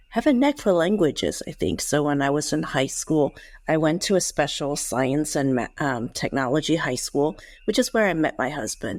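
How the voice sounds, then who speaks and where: A woman with a Cantonese accent, a very deep, low pitch, lively intonation, and a moderate pace. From Hong Kong, then US from age eleven. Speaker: former intelligence officer. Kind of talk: interview.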